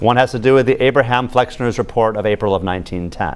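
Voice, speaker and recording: This man talks at a fairly quick pace with an American accent, a medium pitch and ordinary pitch variation. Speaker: medical school professor. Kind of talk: lecture. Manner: fast; animated.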